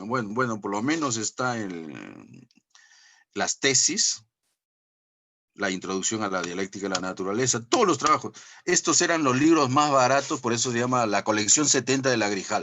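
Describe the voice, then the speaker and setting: Leaving long, frequent pauses, a man speaks at a moderate pace with lively intonation. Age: 60s. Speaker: professor. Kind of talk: lecture. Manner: animated; halting.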